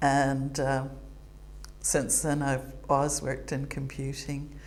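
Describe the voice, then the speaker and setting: In a room with audible echo, a woman speaks very slowly in a very deep, low pitch with monotone, flat intonation and vocal fry. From United States. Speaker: retired computing professor. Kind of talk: interview monologue.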